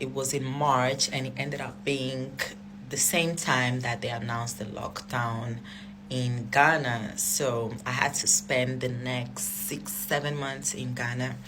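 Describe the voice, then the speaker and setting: Music plays in the background and the room echo is audible. A woman with a non-native accent speaks at a fairly slow pace. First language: not English. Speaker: social media personality telling story. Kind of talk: storytime monologue. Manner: casual, hesitant with fillers.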